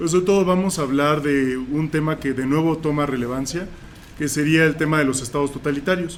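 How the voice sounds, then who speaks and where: Keeping his intonation fairly even, the man moves along at a fairly quick clip. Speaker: philosophy professor. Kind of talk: panel introduction to audience. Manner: loud voice.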